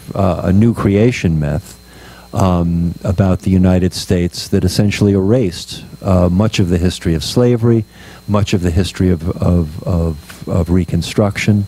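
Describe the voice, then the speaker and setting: Against noticeable background noise, a man with a very deep, low pitch speaks at a moderate pace, with fairly even intonation and very even loudness. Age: 60s. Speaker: author. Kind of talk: book talk. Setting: bookstore event with audience. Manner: hesitant, many fillers.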